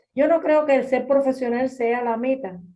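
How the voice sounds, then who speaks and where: Her voice is high-pitched with a dark, mellow tone, as this woman talks at a moderate pace with ordinary pitch variation. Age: 70s. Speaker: audience participant at senior day center. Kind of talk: personal testimony in a group talk.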